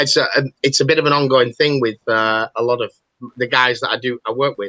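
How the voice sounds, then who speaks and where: Speaking at a fairly quick pace in a northern English accent, a medium-pitched man has a bright, sharp tone, fairly even intonation and a dry, close sound with no echo. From northern England.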